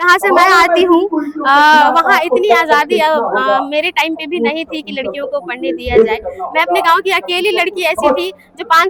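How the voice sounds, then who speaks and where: Over noticeable background noise, a woman speaks at an extremely high pitch with lively intonation. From eastern Uttar Pradesh, Kushinagar. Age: young. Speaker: poet and activist. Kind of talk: interview. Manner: hesitant, many filler sounds.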